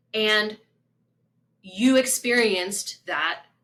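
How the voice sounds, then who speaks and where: A woman speaks at a medium pitch with a slight West Virginia accent. Her tone is bright and sharp. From US South, small-town southern West Virginia. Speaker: spiritual coach. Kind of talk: casual talk to camera. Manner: conversational.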